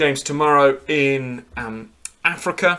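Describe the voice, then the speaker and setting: Speaking very slowly, a man with a British accent has a bright, sharp tone. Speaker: football show host. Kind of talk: live stream commentary. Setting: live stream at home.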